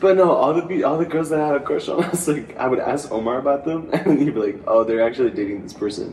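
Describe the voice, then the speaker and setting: A man with fairly high pitch talks at a very fast pace, with lively intonation and hardly any pauses. Background noise is noticeable. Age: 20s. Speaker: college theater student, podcast co-host. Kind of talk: casual chat.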